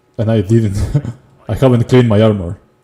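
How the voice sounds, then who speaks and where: Fairly low-pitched, dark, mellow male voice, somewhat breathy, with fairly even intonation and a fairly quick pace. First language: not English. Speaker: video game streamer. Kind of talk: gameplay livestream commentary. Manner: casual, thinking aloud.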